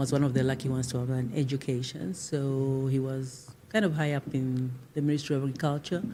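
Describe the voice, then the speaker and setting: A woman with a Zimbabwean accent speaks at a very deep, low pitch with a dark, mellow tone. Her intonation is fairly even and her pace moderate. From Zambia (Lusaka from age seven). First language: Shona. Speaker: civil society leader. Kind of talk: interview. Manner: halting.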